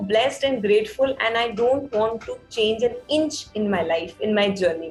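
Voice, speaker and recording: A woman at a moderate pace with ordinary pitch variation, over music in the background. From Udaipur, Rajasthan, India. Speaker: podcaster. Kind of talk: interview answer.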